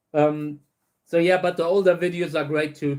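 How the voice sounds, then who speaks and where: Speaking with a German accent, a man uses a high pitch and fairly even intonation at a moderate pace. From Saarland, Germany. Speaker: cactus breeder. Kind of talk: livestream Q&A chat. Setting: livestream. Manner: halting, many fillers and repeats.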